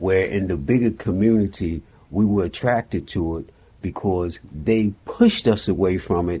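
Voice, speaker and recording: A very deep, low male voice, somewhat breathy, with ordinary pitch variation. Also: moderate pace. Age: 70s. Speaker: mental health therapist. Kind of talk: interview.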